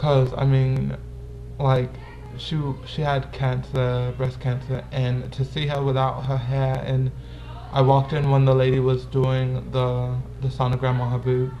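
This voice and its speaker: A man talks at a fairly slow pace over background music. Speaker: vlogger. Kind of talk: casual vlog, answering viewer questions.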